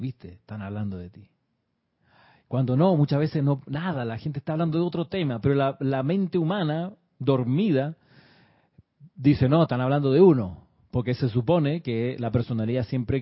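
The voice is somewhat breathy, with lively intonation. Its loudness swings widely, and long pauses come often. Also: man. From Chile. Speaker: spiritual teacher. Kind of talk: livestream class. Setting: live stream.

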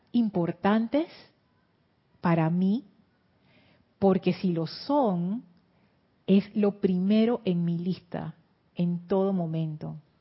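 A woman speaks at a very slow pace in a medium, somewhat breathy voice. Her pitch varies in an ordinary way. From Panama. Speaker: spiritual teacher and livestream host. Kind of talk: livestream class with guided meditation. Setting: YouTube livestream.

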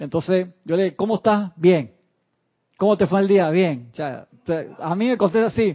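Pausing long and often, a man with a high pitch speaks at a moderate pace with ordinary pitch variation. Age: 40s. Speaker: spiritual teacher. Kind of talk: lecture.

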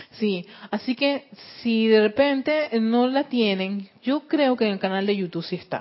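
The woman's voice sits at a fairly high pitch. She talks fairly slowly, with ordinary pitch variation. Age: 40s. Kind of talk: spiritual lecture. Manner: halting, frequent word repetitions; laughs often.

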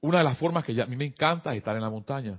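Lively intonation marks this man's speech. There is a somewhat breathy quality to it. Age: 50s. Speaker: spiritual teacher. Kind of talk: spiritual class. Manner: halting.

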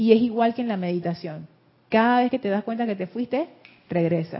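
A woman talking very fast, somewhat breathy, with ordinary pitch variation. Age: 60s. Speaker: spiritual teacher. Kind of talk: group class discussion.

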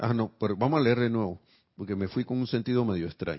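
A man talks at a fairly quick pace in an unremarkable speaking voice. His pitch sits in the medium range. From Panama. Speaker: spiritual teacher. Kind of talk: spiritual class.

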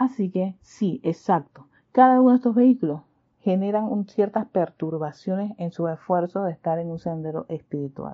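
Her pitch medium and her intonation lively, a woman talks at a moderate pace. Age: 40s. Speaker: spiritual teacher. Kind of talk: spiritual class livestream. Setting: livestream from sister's house. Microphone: using headphones, not usual studio.

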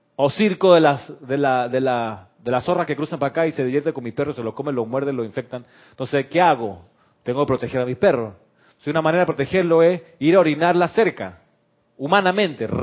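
Using a plain, everyday voice, a man speaks at a fairly quick pace with a fairly high pitch and lively intonation. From Chile. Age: 60s. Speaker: spiritual teacher and radio host. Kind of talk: spiritual class on live radio. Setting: studio with camera, live broadcast.

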